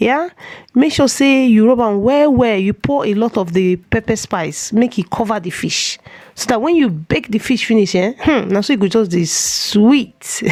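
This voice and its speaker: A woman talks at a moderate pace with lively intonation. Noticeable background noise is present. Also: fairly high pitch for a woman. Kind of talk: cooking tutorial. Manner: casual, chatty.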